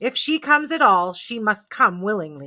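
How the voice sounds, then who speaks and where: A put-on character voice, female-sounding, at a medium pitch with very wide pitch swings. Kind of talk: bedtime story. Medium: read story. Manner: stern, commanding.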